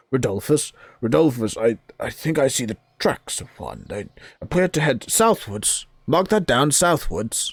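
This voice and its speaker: A man mumbles in a put-on character voice. He keeps a medium pitch and a moderate pace. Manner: mumbling, preoccupied.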